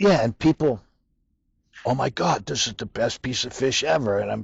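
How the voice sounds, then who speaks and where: Pitch swings very widely, with vocal fry throughout. The speaker has an American accent. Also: man, medium pitch for a man, moderate pace. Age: 60s. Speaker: fish market owner. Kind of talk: casual interview. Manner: animated.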